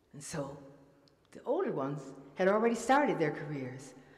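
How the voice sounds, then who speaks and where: Over noticeable background noise and audible room echo, a woman with an American accent speaks at a moderate pace, her medium pitch swinging very widely. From Detroit, US Midwest. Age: 70s. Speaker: musician and storyteller. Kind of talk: storytelling performance. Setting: stage with audience.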